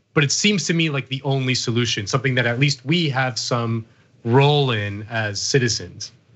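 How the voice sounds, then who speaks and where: A man with a plain, everyday voice talks at a medium pitch and a moderate pace, with ordinary pitch variation. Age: 30s. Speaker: podcast host. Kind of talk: interview.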